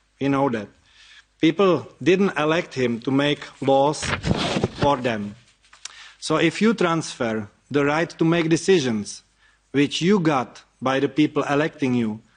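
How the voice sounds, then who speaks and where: A man with a Czech accent speaks at a fairly high pitch with lively intonation. His pace is fairly slow, with long, frequent pauses. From Czech Republic. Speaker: activist. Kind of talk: speech. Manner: reading from notes.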